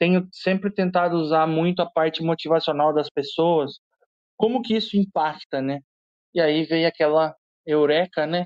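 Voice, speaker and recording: With a normal speaking voice, a man of fairly high pitch speaks at a moderate pace, his intonation fairly even and his loudness very even. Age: 30s. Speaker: agile researcher. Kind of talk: panel discussion. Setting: online audio room.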